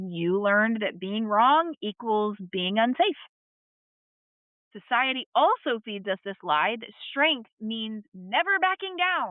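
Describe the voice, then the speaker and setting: A woman's pitch swings very widely. She speaks at a very slow pace. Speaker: marriage coach. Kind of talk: podcast monologue. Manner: candid, conversational.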